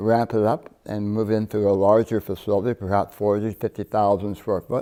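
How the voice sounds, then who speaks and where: A man talks at a moderate pace in a fairly low pitch with a dark, mellow tone. The recording is very clean, with a silent background. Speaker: cannabis company founder. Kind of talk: TV interview. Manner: halting, many repeats and restarts.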